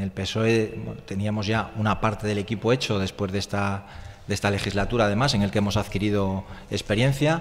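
A man's unremarkable speaking voice, fairly low in pitch, at a fairly quick pace with fairly even intonation. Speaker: political candidate; candidate. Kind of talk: radio interview. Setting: radio studio, live. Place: studio.

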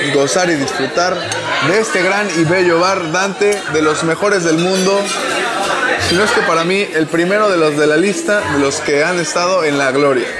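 Against crowd noise in the background, a man talks at a moderate pace. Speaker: drink vlogger. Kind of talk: casual vlog chat. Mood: relaxed, amused. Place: bar. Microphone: lapel.

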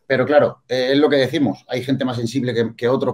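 Against a quiet background, a man speaks at a very fast pace. His intonation is monotone and flat. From Andalusia, Spain. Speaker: bodybuilding coach and competitor; bodybuilding coach. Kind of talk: casual panel discussion. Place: home room. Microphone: video call.

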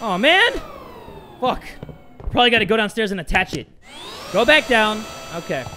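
A man's raised, projected voice, high in pitch, at a fairly quick pace with lively intonation and long, frequent pauses, over light background noise. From Thai heritage. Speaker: gaming youtuber; gamer. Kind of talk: let's play commentary. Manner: animated. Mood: tense, startled.

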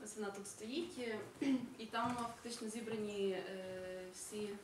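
A woman with a fairly high voice and ordinary pitch variation is heard with audible room echo and noticeable background noise. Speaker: project coordinator. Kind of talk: project presentation. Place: hall. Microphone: podium.

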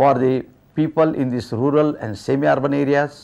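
A man's dark, mellow voice at a moderate pace. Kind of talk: interview answer. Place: office.

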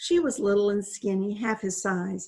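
What comes through is an unforced reading voice.

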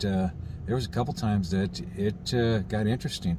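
A man speaks in a somewhat breathy voice. Light background noise can be heard. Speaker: RV travel vlogger. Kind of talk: casual vlog chat. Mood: calm, mildly concerned. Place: car. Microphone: phone near.

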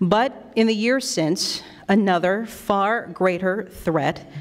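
The woman's pitch varies in an ordinary way, and the background is quiet. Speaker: radio news anchor, event emcee. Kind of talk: emceeing a ceremony. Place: hall. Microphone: podium.

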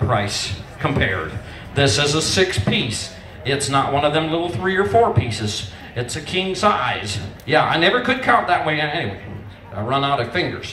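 This man's voice sits fairly high and swings very widely in pitch at a moderate pace. The room echo is audible, with light background noise. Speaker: auctioneer. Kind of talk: casual talk to the crowd between bids. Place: tent.

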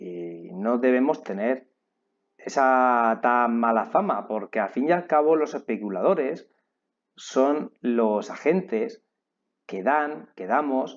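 Speaking very slowly with long, frequent pauses, a man uses a medium pitch and lively intonation. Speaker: online trading teacher. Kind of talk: online course lecture.

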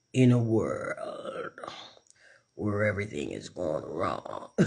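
A man does a put-on character voice at a very slow pace. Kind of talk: casual vlog chat. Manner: dramatic, grave. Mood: expressive, joking.

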